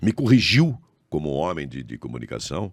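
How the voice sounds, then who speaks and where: A man is talking. The pitch of his voice rises and falls across a very wide range. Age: 70s. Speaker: former state politician and radio and TV host. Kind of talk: casual interview chat. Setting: podcast studio.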